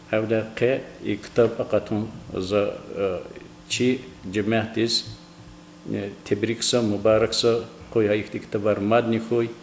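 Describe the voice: Speaking at a fairly slow pace, a man keeps a fairly low pitch with little pitch movement.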